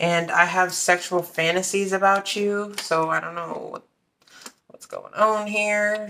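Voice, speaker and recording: A woman's fairly low voice, bright and sharp in tone, monotone and flat, at a fairly slow pace over light background noise. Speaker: card reader. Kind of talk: tarot reading commentary. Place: home room.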